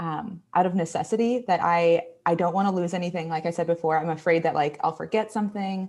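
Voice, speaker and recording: A woman with an American accent talks very fast at a fairly low pitch with fairly even intonation, on a very clean recording with a silent background. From Texas. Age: 20s. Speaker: graphic designer and illustrator. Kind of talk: live design tutorial. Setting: livestream.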